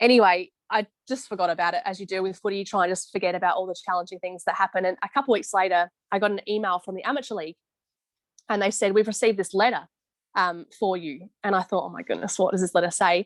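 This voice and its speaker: A woman with an Australian accent and medium pitch speaks at a very fast pace with ordinary pitch variation, the sound dry and close with no echo. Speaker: football umpire. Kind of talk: interview on video call. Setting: video call.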